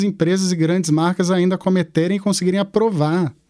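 This man has a high pitch and a dark, mellow tone. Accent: Carioca. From Manaus, Brazil. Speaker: entrepreneur, festival founder. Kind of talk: interview. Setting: studio.

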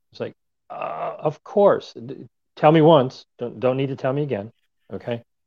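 Big swings in loudness from a man speaking at a moderate pace. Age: 60s. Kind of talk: casual chat. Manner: hesitant, many fillers.

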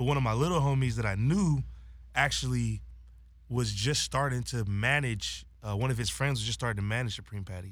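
A man's fairly quick, medium-pitched delivery with an American accent, an unremarkable speaking voice, and ordinary pitch variation. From Los Angeles, San Fernando Valley. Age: 20s. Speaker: social media influencer and rapper. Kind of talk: casual chat.

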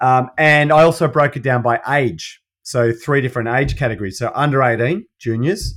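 The voice carries an Australian accent and runs on with hardly any pauses. The recording is very clean, with a silent background. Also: man, medium pitch for a man, ordinary pitch variation, moderate pace. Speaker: allied health practitioner. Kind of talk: casual chat.

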